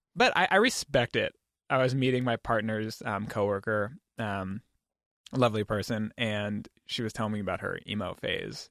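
In an ordinary speaking voice with an American accent, a man talks at a medium pitch and moderate pace with fairly even intonation, recorded dry and close with no echo on a very clean recording with a silent background. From Oregon, US (St. Helens). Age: 30s. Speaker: designer and meme creator. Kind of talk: casual interview.

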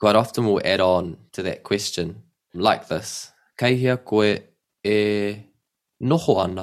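A man with a fairly low pitch and a New Zealand accent speaks at a very slow pace, with ordinary pitch variation. Long, frequent pauses break up his speech in a very clean recording with a silent background. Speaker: language teacher. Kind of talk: language lesson. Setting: at home.

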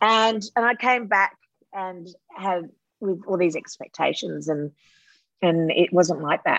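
With an Australian accent, a woman talks at a very slow pace with long, frequent pauses. Her pitch varies in an ordinary way, and the sound is dry and close with no echo. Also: medium pitch for a woman. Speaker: actress. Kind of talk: interview.

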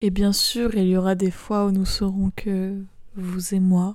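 Her speech comes at a very slow pace, the voice a woman's. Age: 20s. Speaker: podcast host. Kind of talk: casual monologue. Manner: stammering.

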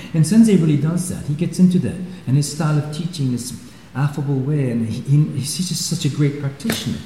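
Against noticeable background noise, a man talks in a fairly high pitch with ordinary pitch variation. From Switzerland. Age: 60s. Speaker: karate teacher. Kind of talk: interview. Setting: dojo.

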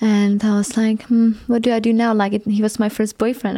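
In a Czech accent, a woman speaks at a medium pitch and a moderate pace. Her tone is dark and mellow. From Czech Republic. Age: 20s. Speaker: tantric massage therapist. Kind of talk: interview. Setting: studio.

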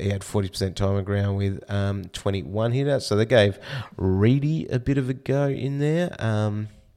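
In an Australian accent, the speaker talks at a fairly slow pace with ordinary pitch variation on a very clean recording with a silent background. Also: man. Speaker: fantasy football podcast host. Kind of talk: casual podcast talk.

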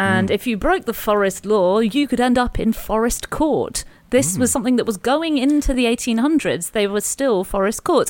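Speaking in a British accent, a woman with a fairly high pitch uses lively intonation at a moderate pace with hardly any pauses. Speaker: podcast host. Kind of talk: casual conversational history chat.

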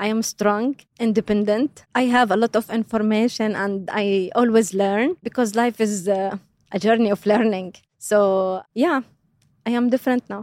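With an Arabic accent and a fairly high pitch, a woman speaks at a moderate pace with fairly even intonation, in a dry, close sound with no echo. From Jordan. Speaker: career coach and parent. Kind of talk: interview. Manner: hesitant, many fillers.

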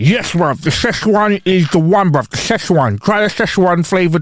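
A man mumbles in a put-on character voice, pitched high for a man. His pace is moderate and his pitch varies in an ordinary way. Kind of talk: slangy, casual.

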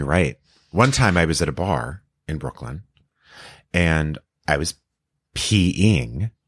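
In an American accent, a man with a very deep, low pitch and vocal fry speaks very slowly with lively intonation and long, frequent pauses, in a very clean recording with a silent background and a dry, close sound with no echo. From Texas, El Paso. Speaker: actor and comedian. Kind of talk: casual chat.

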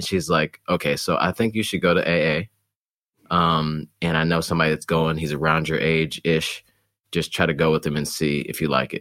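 Recorded dry and close with no echo, a man with an American accent speaks in a very deep, low pitch, his bright, sharp tone edged with vocal fry. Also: very clean recording, silent background. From Detroit area, Michigan. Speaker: runner in recovery from alcohol. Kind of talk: casual interview conversation. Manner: halting, many fillers and restarts.

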